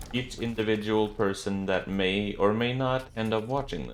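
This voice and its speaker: A man with a non-native accent, plus noticeable background noise. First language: not English. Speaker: gaming YouTuber. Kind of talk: gameplay commentary. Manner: casual, joking.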